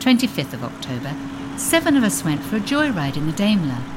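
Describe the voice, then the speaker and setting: A woman with a warm, animated tone speaks at a moderate pace in a fairly low pitch, her voice swinging very widely in pitch over noticeable background noise. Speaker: audiobook narrator. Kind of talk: literary audiobook reading of a diary, period first-person narration. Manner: measured, warm, gently animated.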